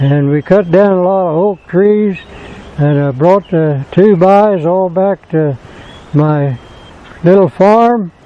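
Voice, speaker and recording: A man with an American accent speaks at a high pitch and very slow pace with ordinary pitch variation and long, frequent pauses over noticeable background noise. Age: 80s+. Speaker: sawmill operator and retired farmer. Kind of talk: casual interview talk.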